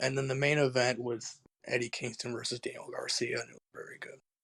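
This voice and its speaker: A man's raspy, put-on character voice at a medium pitch, very fast in pace, with big swings in loudness. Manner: depressed, flat.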